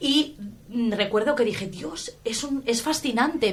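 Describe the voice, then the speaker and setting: A somewhat breathy woman with a Valencian accent talks at a fairly slow pace with ordinary pitch variation. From Valencia region, Spain. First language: Valencian Catalan (speaking Spanish). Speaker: linguistics professor. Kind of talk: interview. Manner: hesitant, many fillers; enthusiastic.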